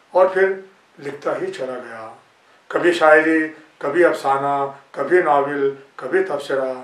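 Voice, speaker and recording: A man speaks with a fairly high pitch. Noticeable background noise and audible room echo fill the recording. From India, Rajasthan (Fatehpur Shekhawati). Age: 70s. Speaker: poet and writer. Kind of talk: autobiographical talk. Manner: formal.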